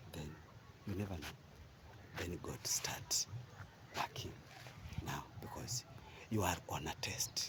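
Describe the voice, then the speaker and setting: A man whispers at a very slow pace, with long, frequent pauses, while noticeable background noise continues. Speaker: vlogger. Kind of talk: motivational monologue. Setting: outdoors, walking. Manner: halting, searching for words.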